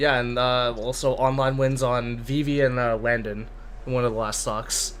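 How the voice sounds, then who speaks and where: A man in a Canadian accent, medium in pitch with monotone, flat intonation, amid audible room echo. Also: moderate pace. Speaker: competitive gamer, channel owner. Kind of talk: casual chat.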